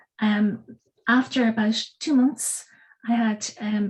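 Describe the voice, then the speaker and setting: Speaking in an Irish accent, a woman keeps a moderate pace and a fairly high pitch. Her voice is somewhat breathy, with fairly even intonation. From Ireland. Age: 60s. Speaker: cancer patient. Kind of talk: testimony.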